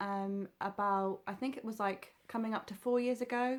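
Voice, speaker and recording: A woman with a southern English accent speaks at a moderate pace, her pitch fairly high and her intonation fairly even. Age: 30s. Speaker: sewing vlogger. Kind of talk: casual vlog talk. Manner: hesitant, many fillers.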